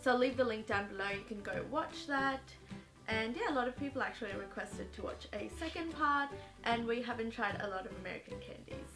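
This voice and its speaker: Clear music sounds in the background as a woman speaks at a fairly quick pace. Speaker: lifestyle vlogger. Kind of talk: casual vlog chat. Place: home room.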